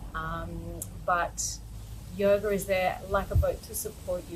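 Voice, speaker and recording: In an Australian accent, a woman is talking. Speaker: yoga teacher. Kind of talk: personal talk to camera.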